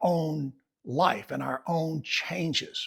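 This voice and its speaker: A man with an Alabama accent speaks in a relaxed tone. His pitch is fairly high. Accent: Southern US (Alabama). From US South, eastern Alabama. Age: 70s. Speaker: writer and farmer vlogger. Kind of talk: reflective personal vlog. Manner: relaxed, conversational.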